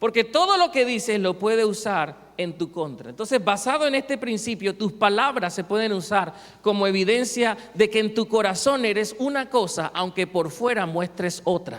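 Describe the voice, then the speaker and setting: A high-pitched man with a Cartagena Colombian accent and lively intonation, amid noticeable background noise. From Colombia, Cartagena. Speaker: pastor. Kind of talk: sermon.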